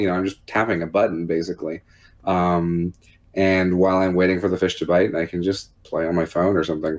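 Fairly quick delivery from a man. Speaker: podcast guest. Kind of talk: casual conversation about a video game. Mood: cheerful, amused. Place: home room.

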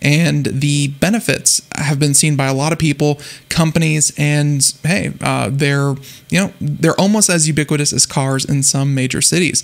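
The man speaks with fairly even intonation. His pace is moderate. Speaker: radio show host. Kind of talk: radio show intro. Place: studio. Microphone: studio mic.

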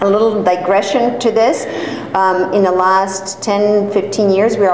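A woman at a medium pitch speaks with ordinary pitch variation, with audible room echo and light background noise. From Serbia. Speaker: hair transplant coordinator and course director giving a talk. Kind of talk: lecture. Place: classroom. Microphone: camera far.

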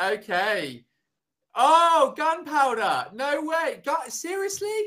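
With a raised, projected voice and a bright, sharp tone, a man speaks at an extremely high pitch and a very slow pace. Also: quiet background. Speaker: online English tutor. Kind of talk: casual chat. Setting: video call. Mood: friendly, amused. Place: home room.

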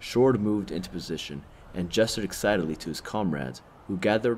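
Reading in an unforced voice

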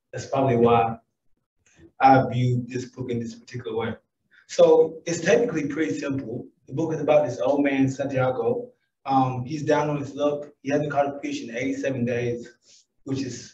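A man's somewhat breathy, medium-pitched voice with an American accent, fairly even intonation and a moderate pace. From US South. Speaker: businessman. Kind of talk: conference talk. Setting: stage with audience.

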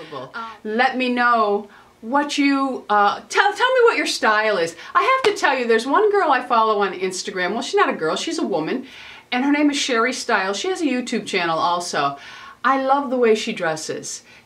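The voice moves at a moderate pace with very wide pitch swings. Light background noise can be heard. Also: woman, high pitch for a woman. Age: 50s. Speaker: beauty and fashion vlogger; fashion vlogger. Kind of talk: casual talk to camera, fashion try-on. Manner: chatty, rambling with fillers. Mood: cheerful, animated. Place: home room.

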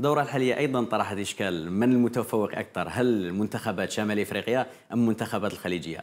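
This man talks at a fairly quick pace with hardly any pauses. His pitch is fairly low, with ordinary variation. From Algeria. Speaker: sports TV presenter; TV presenter. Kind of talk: studio interview on football. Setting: TV studio. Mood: light, smiling. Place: studio. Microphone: lapel.

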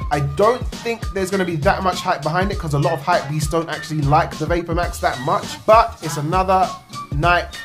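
The voice moves at a fairly quick pace with ordinary pitch variation while clear music plays in the background. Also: man, high pitch for a man. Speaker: sneaker vlogger. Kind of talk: casual vlog chat. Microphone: phone near.

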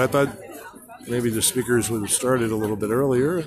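Fairly quick speech from a man at medium pitch over noticeable background noise. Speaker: livestreamer and activist. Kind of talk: casual livestream commentary. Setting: outdoors at protest, streaming live.

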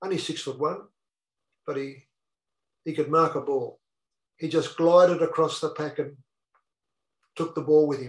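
A man with an Australian accent speaks at a moderate pace and a fairly high pitch. His intonation is monotone and flat, broken by long, frequent pauses. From northeast Victoria, Australia (Wodonga). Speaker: retired footballer. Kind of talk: interview storytelling.

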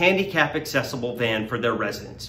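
Upbeat in tone, a man speaks at a moderate pace with very wide pitch swings. Audible room echo and light background noise are present. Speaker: benefit auctioneer. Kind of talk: promotional video read inviting people to a fundraising event. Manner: friendly, upbeat.

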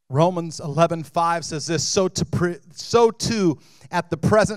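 Talking at a very slow pace, a man uses a high pitch with ordinary pitch variation. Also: quiet background. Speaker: lead pastor. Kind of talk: sermon. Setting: church. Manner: animated. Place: stage. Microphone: handheld.

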